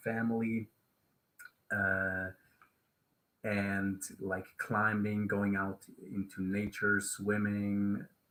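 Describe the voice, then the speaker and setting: A bright, sharp tone in a Swiss German accent. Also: man. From Switzerland. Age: 30s. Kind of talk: casual live stream talk. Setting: live stream. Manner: halting, many fillers.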